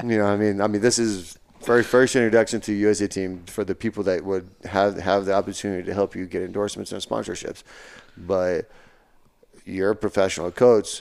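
A man's fairly low voice in a Texan accent, fairly quick and with fairly even intonation. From West Texas. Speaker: Paralympic sprinter. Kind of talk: casual chat.

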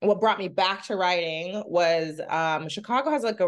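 The recording has a quiet background. It features an unremarkable speaking voice at a moderate pace. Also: woman. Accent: American. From Maryland, US East Coast. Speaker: screenwriter and actor. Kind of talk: interview conversation.

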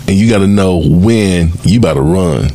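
A man with a fairly low pitch talks at a moderate pace, and noticeable noise fills the background. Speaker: podcast host. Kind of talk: moderated panel discussion. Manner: upbeat, enthusiastic.

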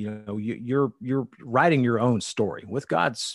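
A medium-pitched man's voice, an unremarkable speaking voice, its pitch varying in an ordinary way. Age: 40s. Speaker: tour manager for a country singer, former district manager. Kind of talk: casual interview chat.

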